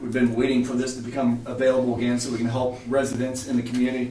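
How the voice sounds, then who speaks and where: Audible room echo and noticeable background noise around a man's medium-pitched voice. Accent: American. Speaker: city council meeting chair. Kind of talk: council meeting.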